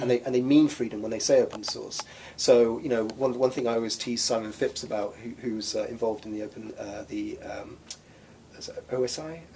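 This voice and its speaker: Noticeable background noise is present throughout. The talking goes at a fairly quick pace. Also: man. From England, Oxford. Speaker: free software nonprofit executive director. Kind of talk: interview.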